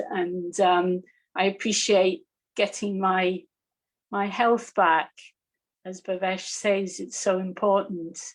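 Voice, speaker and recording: In a very clean recording with a silent background, a woman speaks at a medium pitch. Her delivery is very slow, flat and monotone, with long, frequent pauses. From northeast England (Newcastle). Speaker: meditation teacher. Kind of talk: personal testimony on a panel.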